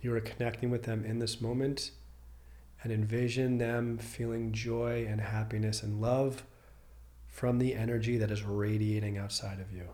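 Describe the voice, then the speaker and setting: Warm-toned, monotone, flat speech over noticeable background noise. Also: man, medium pitch for a man. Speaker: podcast host and meditation guide. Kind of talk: guided meditation, calm and soothing, slow paced with long pauses. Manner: warm, reassuring and sincere.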